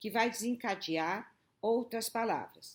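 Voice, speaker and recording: A woman's very slow speech carries lively intonation, captured in a very clean recording with a silent background. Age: 70s. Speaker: educator, former student activist. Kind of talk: personal testimony. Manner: conversational, frequent tag 'né'.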